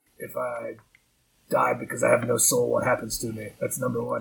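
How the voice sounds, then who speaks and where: A man puts on a raspy character voice. He delivers it at a fairly quick pace. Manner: flatly menacing, morbidly rambling.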